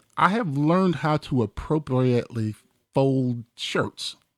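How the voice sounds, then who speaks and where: A man with an ordinary speaking voice talks fairly slowly at a fairly high pitch, his intonation lively and the sound dry and close with no echo. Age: 50s. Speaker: retired police captain. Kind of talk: casual chat. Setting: radio studio.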